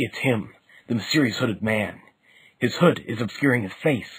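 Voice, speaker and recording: A man does a raspy put-on character voice at a medium pitch, speaking at a moderate pace. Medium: cartoon. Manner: formal, dutiful.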